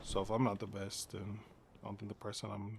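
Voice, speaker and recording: A somewhat breathy man speaks at a fairly low pitch in a monotone, flat intonation. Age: 30s. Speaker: gaming streamer. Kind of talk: casual live-stream chat.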